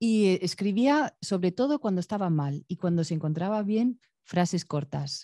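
A woman speaks at a fairly slow pace with a dark, mellow tone. The sound is dry with no echo, over a quiet background. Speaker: visual artist; guest. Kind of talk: Q&A answers after a performance. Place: stage. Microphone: handheld.

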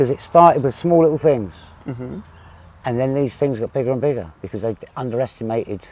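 With a southern English accent, a man talks at a fairly quick pace and medium pitch, his intonation lively and the sound dry with no echo. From southern England. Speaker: visiting Englishman interviewed; interviewee. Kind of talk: interview. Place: garden. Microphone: lapel.

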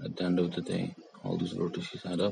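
Speaking with a strong non-native accent, a man mumbles in a dry recording with no echo and noticeable background noise. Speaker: 3D artist. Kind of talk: software tutorial narration. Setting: mobile phone recording. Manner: mumbling. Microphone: phone near.

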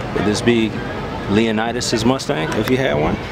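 Loud background noise sits under a dry sound with no echo as the speaker goes at a fairly slow pace. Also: man. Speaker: car vlogger. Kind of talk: casual vlog commentary. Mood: excited, admiring. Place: street. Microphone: phone near.

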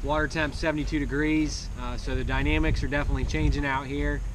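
A man talks at a moderate pace. There is music in the background. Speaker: angler vlogger. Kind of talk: casual vlog chat. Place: boat.

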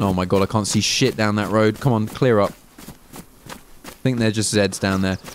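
A man with a southern English accent speaks in a fairly low pitch, with very even loudness. There are long, frequent pauses and noticeable background noise. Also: moderate pace. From southern England. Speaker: gaming streamer. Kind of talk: live gameplay stream chat. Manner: animated.

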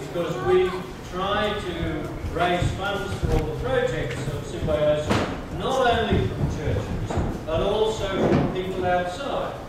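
Loud background noise and audible room echo fill the recording. A man speaks at a very slow pace. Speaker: guest. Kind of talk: sermon. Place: hall.

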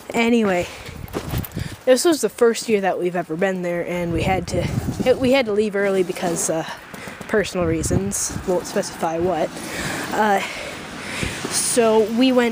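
A woman talks at a moderate pace with ordinary pitch variation and long, frequent pauses. The sound is dry with no echo, and there is noticeable background noise. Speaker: vlogger. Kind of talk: casual vlog chat. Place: open country. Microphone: phone near.

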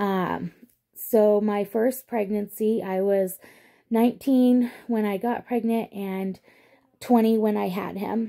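Woman at a fairly high pitch, very slow and monotone, flat in intonation, with a dark, mellow tone and a quiet background. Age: 30s. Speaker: vlogger; pregnant mother vlogger. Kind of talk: casual vlog monologue. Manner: hesitant, many fillers. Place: home room. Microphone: phone near.

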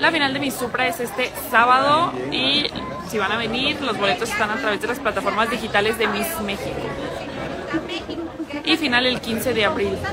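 Loud background noise fills the recording. A woman talks over it at a fairly slow pace. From Mexico, Jalisco (El Salto). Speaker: pageant livestream host, former beauty queen. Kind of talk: casual live-stream chat. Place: cafe. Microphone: phone near.

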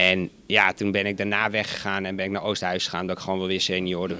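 At a very fast pace, a man with a very deep, low voice speaks in a monotone, flat way over light background noise. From Netherlands, West-Friesland (North Holland); North Holland, Netherlands. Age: 40s. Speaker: football coach. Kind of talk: interview. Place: hall. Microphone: handheld.

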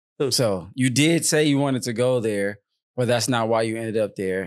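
A normal speaking voice from a man at a moderate pace with ordinary pitch variation, on a very clean recording with a silent background. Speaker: podcast host and father. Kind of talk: casual family chat.

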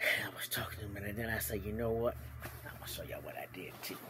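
Whispering, a man moves along at a fairly quick pace. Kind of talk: casual vlog storytelling. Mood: cheerful, amused. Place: home room. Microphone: phone near.

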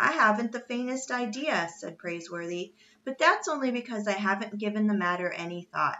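The clip is read aloud. The reading is plain.

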